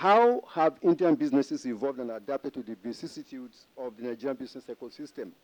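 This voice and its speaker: Talking at a very fast pace with hardly any pauses, a man uses lively intonation and a fairly high pitch. His loudness swings widely, and the sound is dry and close, with no echo. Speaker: history professor. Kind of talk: conference presentation. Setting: conference panel with audience.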